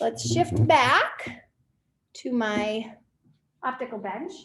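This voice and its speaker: A woman speaks in a shrill voice with very wide pitch swings. Audible room echo is present. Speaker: physics teacher. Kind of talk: lecture.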